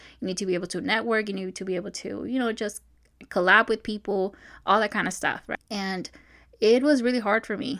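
A woman speaks in an unremarkable speaking voice at a medium pitch with ordinary pitch variation. The recording is very clean, with a silent background. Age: 30s. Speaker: podcast host, baking business coach. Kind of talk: casual solo talk. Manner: loose, unscripted with frequent fillers and laughs.

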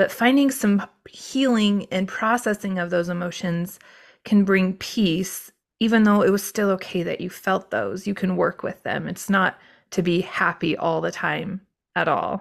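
Against a silent background in a very clean recording, a woman with a plain, everyday voice speaks fairly slowly at a medium pitch with ordinary pitch variation. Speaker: podcast host and life coach. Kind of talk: interview intro and chat.

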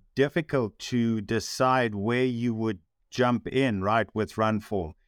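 Recorded very cleanly against a silent background, a man at medium pitch talks at a very slow pace in a dry, close sound with no echo. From South Africa. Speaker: running coach. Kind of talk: casual podcast conversation.

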